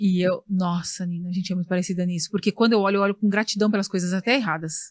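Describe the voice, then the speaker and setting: Somewhat breathy, a woman talks at a very fast pace in a medium-pitched voice with fairly even intonation, the sound dry and close with no echo. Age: 40s. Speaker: podcast host. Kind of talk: interview.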